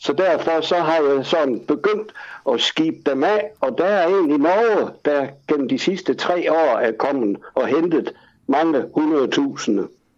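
At a very slow pace, a man talks in a fairly high pitch with lively intonation. His loudness stays very even throughout. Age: 70s. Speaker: collector. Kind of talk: casual chat. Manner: halting.

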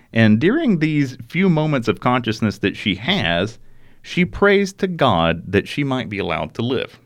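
Against a quiet background, a man with an Alabama accent and vocal fry speaks at a moderate pace with very wide pitch swings. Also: medium pitch for a man. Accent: Southern US (Alabama). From US South, rural Alabama. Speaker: podcast host. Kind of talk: true crime storytelling chat.

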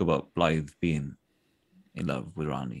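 A man with a South Wales accent and vocal fry. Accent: South Wales Welsh English. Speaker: voice actor. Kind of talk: casual interview. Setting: video call.

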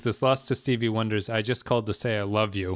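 In a very clean recording with a silent background, a man speaks at a medium pitch in an unremarkable speaking voice with ordinary pitch variation. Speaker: podcast host. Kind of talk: casual chat.

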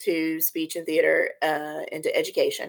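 On a very clean recording with a silent background, a woman with a Texan accent speaks at a fairly slow pace. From Texas, Corpus Christi. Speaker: theater teacher. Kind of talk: casual chat.

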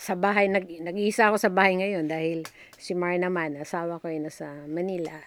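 A woman talks in a normal speaking voice at a fairly low pitch. Her pace is moderate, with ordinary pitch variation. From Batanes, Philippines (Itbayat). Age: 60s. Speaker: retired nurse. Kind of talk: interview.

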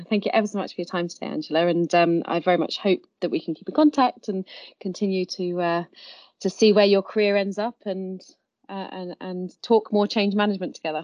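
Words come at a fairly quick clip. The pitch shifts in an ordinary way. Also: woman, medium pitch for a woman. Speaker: podcast host. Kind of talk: interview. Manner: halting.

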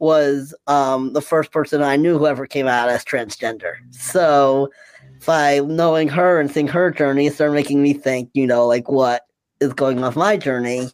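A plain, everyday voice from a man, fairly high in pitch, with very even loudness and fairly even intonation. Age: 40s. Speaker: transgender man sharing his story. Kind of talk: casual chat.

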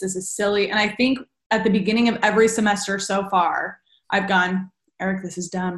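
With a Californian accent, a woman speaks fairly quickly at a medium pitch in a monotone, flat intonation. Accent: Californian American. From Southern California, Redlands. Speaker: speech-language pathologist. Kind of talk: casual chat.

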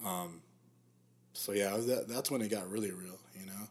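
The speaker is a man. He has an American accent. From Arizona, South Phoenix. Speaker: Marine veteran and videographer. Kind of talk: casual interview.

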